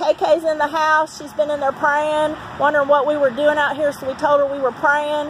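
A woman speaks at a moderate pace in a high pitch and a flat monotone. The sound is dry with no echo, with light background noise. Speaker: street prayer team leader. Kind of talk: fervent prayer and proclamation. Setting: outdoors at courthouse. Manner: loud, forceful, declaring spiritual warfare. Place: street. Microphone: phone near.

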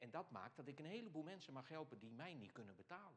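A man's fairly high voice at a fairly quick pace, with very wide pitch swings and vocal fry. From Netherlands, Alblasserwaard (South Holland). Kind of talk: Q&A after a lecture. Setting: hall with live audience and microphone. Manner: halting, with many fillers. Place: church. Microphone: lapel.

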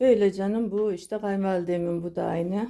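The woman has a dark, mellow tone and ordinary pitch variation, speaking at a fairly slow pace. The recording is very clean, with a silent background. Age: 50s. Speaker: vlogger. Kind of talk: casual home tour vlog.

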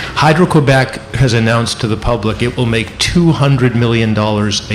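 At a fairly slow pace, a man talks with ordinary pitch variation against noticeable background noise. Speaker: energy project activist. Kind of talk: panel discussion.

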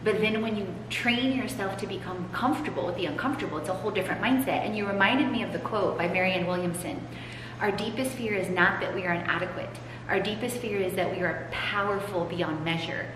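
A woman's very fast speech with ordinary pitch variation, plus noticeable background noise and audible room echo. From Poland. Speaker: podcast host and transformation coach. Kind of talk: casual interview chat. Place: hall. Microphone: camera far.

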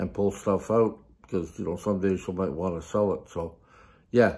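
This man has an unremarkable speaking voice, pitched fairly low, with ordinary pitch variation. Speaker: vlogger. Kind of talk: casual vlog chat. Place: home room. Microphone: phone near.

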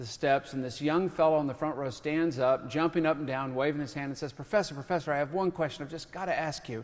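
At a very fast pace, a man speaks with a fairly high pitch. His pitch shows ordinary variation. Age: 50s. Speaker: author and lecturer; lecturer. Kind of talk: lecture. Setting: stage with audience. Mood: humorous storytelling. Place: stage. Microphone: podium.

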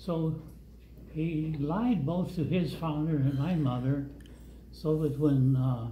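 With light background noise and audible room echo, a man speaks very slowly in a somewhat breathy voice with a dark, mellow tone. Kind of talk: storytelling. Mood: calm, reflective. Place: hall.

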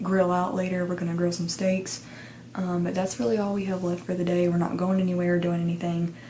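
With light background noise behind her, a woman speaks in a fairly low pitch and a monotone, flat intonation. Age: 20s. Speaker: lifestyle vlogger. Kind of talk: casual vlog talk to camera. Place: home room. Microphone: phone near.

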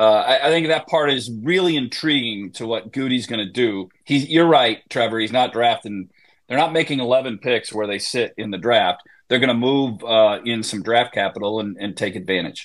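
Against a quiet background, a plain, everyday voice in an American accent moves at a moderate pace with ordinary pitch variation. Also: man, medium pitch for a man. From Wisconsin. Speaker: sports radio host. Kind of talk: casual chat. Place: home room. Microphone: earbuds.

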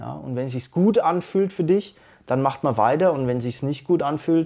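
Against a quiet background, a man speaks at a moderate pace in a dark, mellow tone with ordinary pitch variation. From Bavaria, Germany. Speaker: slam poet. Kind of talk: interview answer. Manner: casual. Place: studio. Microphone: lapel.

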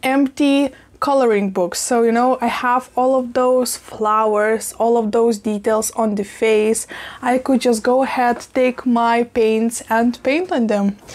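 A woman speaks at a fairly slow pace. Her loudness stays very even. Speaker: plant vlogger. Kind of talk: casual vlog chat. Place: kitchen. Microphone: lapel.

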